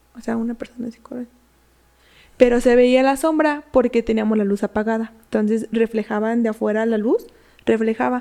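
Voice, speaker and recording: Her voice carries a dark, mellow tone. The woman speaks with a fairly high pitch and fairly even intonation. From Mexico, Michoacán. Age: 20s. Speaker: psychologist and fitness influencer. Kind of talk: casual chat, telling horror stories.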